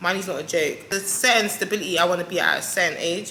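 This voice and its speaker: A woman's medium-pitched, animated voice at a fairly quick pace, with noticeable background noise. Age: 20s. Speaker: vlogger and lash technician. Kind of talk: casual sit-down chat to camera. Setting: solo to camera.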